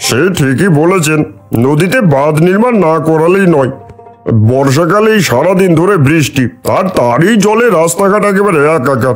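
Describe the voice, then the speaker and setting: A man's cartoonish character voice, high in pitch, over clear music in the background. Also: moderate pace. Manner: deferential, earnest.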